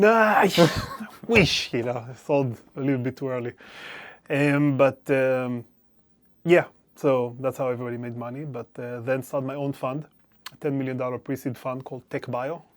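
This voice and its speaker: A man with a medium pitch speaks at a moderate pace, with ordinary pitch variation. His loudness swings widely, and he leaves long, frequent pauses. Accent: Israeli. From Israel. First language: Hebrew. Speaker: venture capital investor. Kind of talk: interview. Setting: recording studio.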